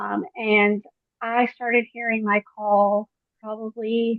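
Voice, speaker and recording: A woman speaks in an ordinary speaking voice with an American accent, a fairly high pitch and fairly even intonation. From Queens, New York. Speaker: church lay leader. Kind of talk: group video call sharing.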